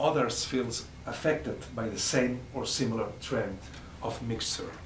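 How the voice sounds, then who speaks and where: Someone with a non-native accent speaks amid audible room echo and noticeable background noise. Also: man. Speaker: professor. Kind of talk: lecture read from text. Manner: halting, frequent uh and repetitions.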